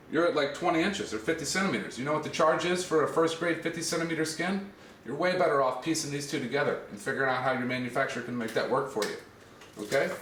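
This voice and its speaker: The speaker goes at a very fast pace with ordinary pitch variation, amid noticeable background noise and audible room echo. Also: man, fairly high pitch for a man. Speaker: exotic leather seller. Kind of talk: product demonstration. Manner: casual.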